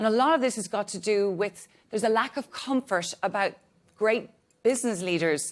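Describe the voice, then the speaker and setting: This woman speaks at a fairly quick pace with a medium pitch and ordinary pitch variation. The recording is very clean, with a silent background. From Ireland. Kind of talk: panel discussion opening remarks. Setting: stage with audience. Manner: talkative.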